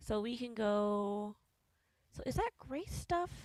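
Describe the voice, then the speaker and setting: A woman speaks with an American accent. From US South. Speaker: game streamer. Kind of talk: live gameplay commentary. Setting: live stream. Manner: casual, chatty.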